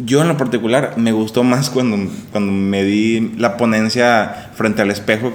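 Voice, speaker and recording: With noticeable background noise and audible room echo, a man speaks at a medium pitch and fairly even intonation. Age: 30s. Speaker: podcast co-host, entrepreneur. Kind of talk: casual chat. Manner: halting, many repetitions.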